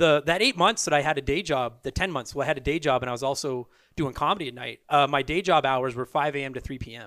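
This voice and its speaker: Speaking very fast with a Canadian accent, a man uses a fairly high pitch, ordinary pitch variation, and a bright, sharp tone on a very clean recording with a silent background. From Canada (army brat, Ontario and Alberta). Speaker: stand-up comedian. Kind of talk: casual chat.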